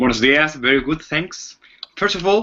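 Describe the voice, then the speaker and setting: A man speaks with a Chilean accent at a fairly high pitch. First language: Spanish. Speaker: mentalist. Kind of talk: interview. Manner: halting.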